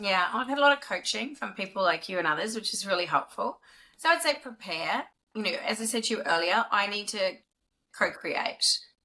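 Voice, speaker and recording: A woman with a New Zealand accent, fairly high-pitched and bright and sharp in tone, at a fairly quick pace with lively intonation. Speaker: business executive. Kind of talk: podcast interview. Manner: fast.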